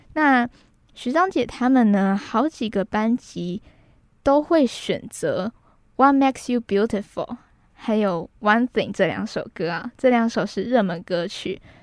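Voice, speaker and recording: In a very clean recording with a silent background, a woman with a fairly high pitch speaks very slowly, her intonation lively. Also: dry, close sound with no echo. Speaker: radio host. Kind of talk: radio music show hosting. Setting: radio studio.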